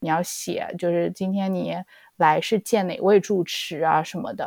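In a very clean recording with a silent background and a dry, close sound with no echo, a woman of medium pitch speaks in an unremarkable speaking voice. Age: young. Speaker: podcast co-host. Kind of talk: casual chat.

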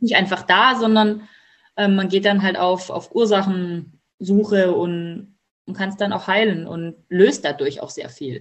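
Very slowly, a woman speaks with big swings in loudness and ordinary pitch variation. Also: medium pitch for a woman. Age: 30s. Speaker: mother of twins, coaching client. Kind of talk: casual interview.

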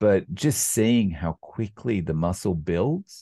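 The tone is dark and mellow, with an Australian accent. Delivery is very slow, with lively intonation. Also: man, quiet background. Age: 40s. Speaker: carnivore diet YouTuber. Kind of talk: casual interview. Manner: hesitant, many fillers.

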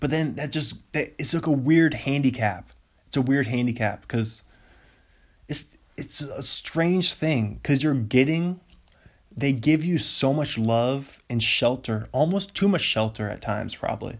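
A man's animated, fairly high voice with an American accent and ordinary pitch variation. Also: fairly slow pace. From US Pacific Northwest, Seattle. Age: 20s. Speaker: solo podcaster, comedian. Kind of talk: casual solo monologue. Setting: home during quarantine. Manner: rambling, halting with many fillers; animated, frequent laughter.

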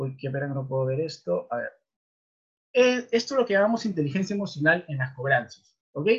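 Pitch swings very widely while the speaking pace stays moderate. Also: man, fairly high pitch for a man. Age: 30s. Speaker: webinar presenter, debt collection trainer. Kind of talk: online lecture. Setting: online webinar.

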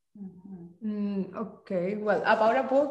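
A woman with a Spanish accent talks at a fairly slow pace in fairly even intonation, with audible room echo and noticeable background noise. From Mexico. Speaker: design master's student, former design teacher. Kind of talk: casual interview.

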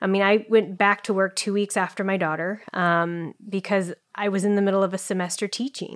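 This woman's pitch is in the medium range. She talks fairly quickly. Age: 30s. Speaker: marathon runner and professor. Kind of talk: interview conversation. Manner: hesitant with many fillers.

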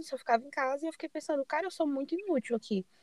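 A woman speaks at a very fast pace with lively intonation. The sound is dry and close, with no echo. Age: 20s. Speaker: journalism student podcast host. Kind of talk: casual chat.

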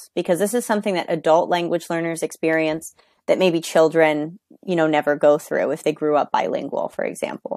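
A woman with an American accent in a normal speaking voice, fairly low in pitch with ordinary pitch variation, at a fairly quick pace, in a dry, close sound with no echo. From New York. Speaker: English coach. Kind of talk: interview.

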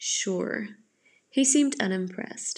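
A woman is speaking. Her voice carries vocal fry. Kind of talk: audiobook narration.

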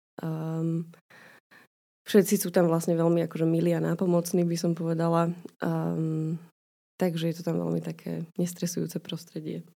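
Speaking in a flat monotone at a moderate pace, a woman with a fairly low pitch and dark, mellow tone leaves long, frequent pauses. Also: very clean recording, silent background. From Slovakia, Bratislava. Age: young. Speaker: physician. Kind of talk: casual interview chat. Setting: podcast studio. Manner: hesitant, many fillers.

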